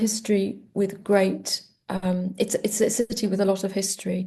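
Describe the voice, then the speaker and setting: A woman with a Welsh accent speaks at a medium pitch in a dark, mellow tone. Her delivery is somewhat breathy, with monotone, flat intonation. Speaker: poet. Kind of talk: interview. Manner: halting.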